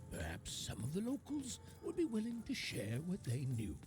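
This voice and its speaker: Over clear music in the background, a man does a cartoonish character voice at a moderate pace. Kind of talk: fairy-tale storytelling.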